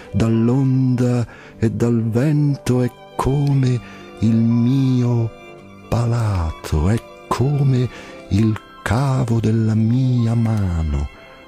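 Music plays behind a man speaking at a very slow pace. His voice sits at a medium pitch with ordinary pitch variation. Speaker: stage actor. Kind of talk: poetry reading. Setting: over background music.

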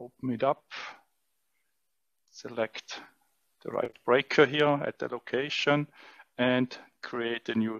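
Over a quiet background, in a dry sound with no echo, a man speaks at a very slow pace with long, frequent pauses and monotone, flat intonation. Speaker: test equipment demonstrator. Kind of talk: tutorial. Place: hall. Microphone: headset.

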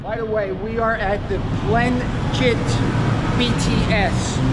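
The background noise is loud. Through it, a man speaks. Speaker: travel vlogger. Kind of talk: casual vlog chat. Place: street. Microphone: phone near.

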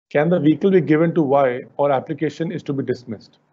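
A man with an Indian accent speaks very fast at a fairly high pitch, with ordinary pitch variation. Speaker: webinar host. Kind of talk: webinar moderation. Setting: video call. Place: office. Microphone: headset.

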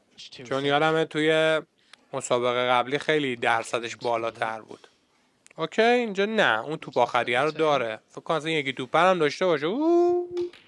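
In a very clean recording with a silent background, a man with a fairly high pitch speaks at a moderate pace, animated in tone and lively in intonation. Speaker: snooker commentator and coach. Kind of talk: live commentary over match video.

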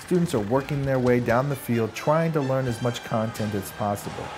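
Music plays behind the speech. A man talks, his pitch varying in an ordinary way. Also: medium pitch for a man, moderate pace. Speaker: executive director of an education nonprofit. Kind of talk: explainer video narration.

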